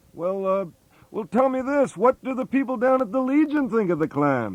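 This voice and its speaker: This gruff, put-on character voice has lively intonation. It moves at a moderate pace over a quiet background. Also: man, extremely high pitch for a man. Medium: comedy sketch. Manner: blunt, gruff.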